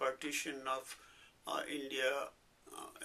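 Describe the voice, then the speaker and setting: The man's speech proceeds at a very slow pace. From Pakistan, Punjab (Rawalpindi). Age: 70s. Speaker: retired English professor. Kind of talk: oral history interview. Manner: halting, many fillers.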